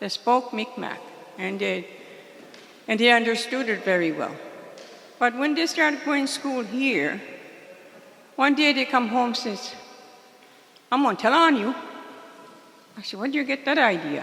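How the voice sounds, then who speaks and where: With a Maritime Canadian accent, a woman speaks at a high pitch and moderate pace, her intonation lively. Long, frequent pauses break up her speech, and noticeable background noise is present. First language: Mi'kmaq. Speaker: community elder. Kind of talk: spoken remarks at a community meeting.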